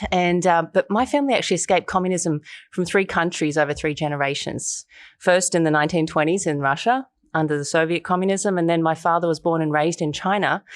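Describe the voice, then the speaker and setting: In a very clean recording with a silent background, a woman with an Australian accent speaks fairly quickly at a fairly low pitch. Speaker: human rights activist and documentary filmmaker. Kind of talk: interview.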